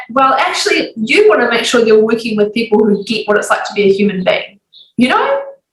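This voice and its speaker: A woman with a New Zealand accent, fairly high pitch, energetic tone, ordinary pitch variation and a fairly quick pace. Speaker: business coach and author. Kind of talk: podcast interview.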